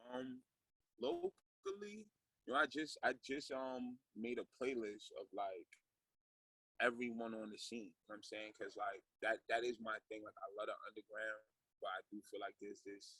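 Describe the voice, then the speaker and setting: In an American accent, a man speaks at a moderate pace with big swings in loudness, the sound dry and close with no echo. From Jamaica, Kingston; US from age 11. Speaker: hip-hop artist. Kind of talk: interview. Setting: video call. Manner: casual, many fillers. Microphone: lag and echo.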